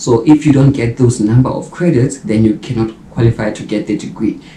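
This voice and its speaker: Audible room echo and light background noise are present in this recording. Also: man. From South Africa. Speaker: YouTuber and mature medical student. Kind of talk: vlog monologue. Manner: casual, conversational. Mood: reflective, earnest. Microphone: camera far.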